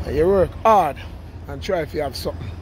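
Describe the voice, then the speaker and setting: Light background noise sits under a dry sound with no echo. The delivery moves at a moderate pace. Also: man. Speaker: vlogger walking. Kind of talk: casual vlog chat, life advice. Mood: relaxed, philosophical, laughing. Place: street. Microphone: phone near.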